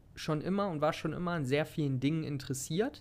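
A man's relaxed tone at a moderate pace, with ordinary pitch variation. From Germany, Hanover area. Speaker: health and fitness podcaster. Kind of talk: casual personal monologue. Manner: relaxed, casual.

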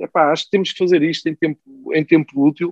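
A man speaks with a European Portuguese accent at a fairly high pitch. His pace is moderate. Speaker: football pundit and music journalist. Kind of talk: casual chat.

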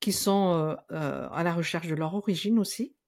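A woman with a plain, everyday voice and fairly low pitch speaks at a fairly slow pace with ordinary pitch variation on a very clean recording with a silent background. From Madagascar. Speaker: psychologist and Malagasy language teacher. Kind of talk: casual interview.

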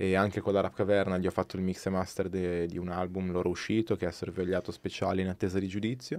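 Over a silent background in a very clean recording, a man speaks at a very deep, low pitch. He goes at a very fast pace with hardly any pauses. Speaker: guest, music producer and rapper. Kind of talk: casual chat, live podcast. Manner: enthusiastic.

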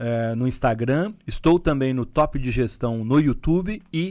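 Against a quiet background, a man of medium pitch speaks in an ordinary speaking voice with ordinary pitch variation. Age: 50s. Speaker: former company executive and entrepreneur. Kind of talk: interview.

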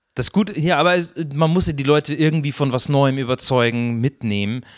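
A man speaks with a Bavarian accent. The sound is dry and close with no echo, on a very clean recording with a silent background. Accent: Bavarian, rolled R. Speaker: podcast host. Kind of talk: comedic podcast chat.

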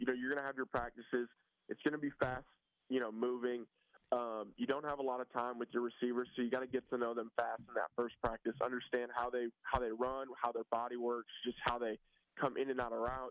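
A man's medium-pitched voice, monotone and flat, at a fairly quick pace. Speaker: college football quarterback. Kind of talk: interview. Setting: phone call. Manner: halting.

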